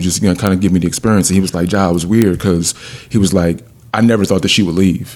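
Over noticeable background noise, the speaker's intonation stays fairly even. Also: man. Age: 40s. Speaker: podcast host. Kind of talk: casual chat. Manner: halting, many repetitions.

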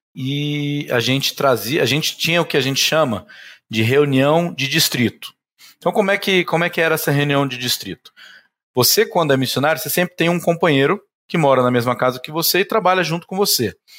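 Here a man with fairly high pitch has an ordinary speaking voice and lively intonation at a fairly quick pace. The recording is very clean, with a silent background. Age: 30s. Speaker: insurance broker, business owner. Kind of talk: podcast interview.

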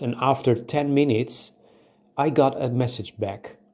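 Against a quiet background, a man speaks with a non-native accent at a fairly slow pace. His tone is dark and mellow. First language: not English. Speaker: podcast host. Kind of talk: solo monologue podcast. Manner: halting.

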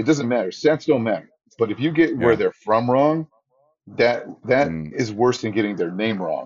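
A man with a normal speaking voice talks at a moderate pace in a medium pitch, his intonation lively. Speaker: ring announcer. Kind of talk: casual interview chat; ring announcer call-out. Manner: relaxed, conversational.

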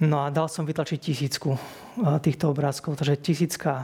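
A man's fairly high, somewhat breathy voice in a flat monotone, on a very clean recording with a silent background. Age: 40s. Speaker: hospital chaplain priest. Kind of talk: interview. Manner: repetitive, hesitant word repeats.

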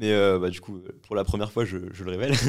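The recording is very clean, with a silent background. A man with a fairly low pitch speaks at a fairly quick pace. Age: 20s. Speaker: podcast host and entrepreneur. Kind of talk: casual chat.

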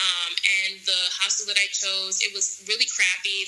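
With a New York accent, a woman speaks fairly slowly at a medium pitch. Background noise is noticeable. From New York City. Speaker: travel guest, marketing and entertainment worker. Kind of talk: casual interview. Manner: articulate.

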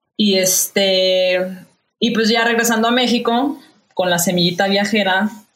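A woman speaks in a somewhat breathy voice. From Mexico, Guadalajara (Jalisco). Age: 30s. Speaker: chef. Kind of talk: casual chat. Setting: video call.

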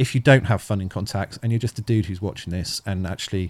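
In a Bristol accent, a man talks at a very fast pace with a very deep, low pitch and ordinary pitch variation, the sound dry and close with no echo on a very clean recording with a silent background. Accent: South West English, Bristol area. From Thornbury, South Gloucestershire, England. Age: 40s. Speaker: charity founder. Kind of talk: casual interview chat. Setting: with a dog nearby.

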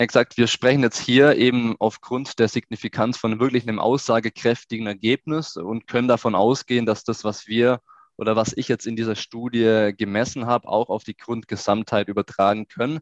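With hardly any pauses, a man talks in a normal speaking voice at medium pitch and a moderate pace, with fairly even intonation and a dry, close sound with no echo. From Swabian Jura, southern Germany. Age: 20s. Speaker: youth football coach and sports researcher. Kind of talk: interview.

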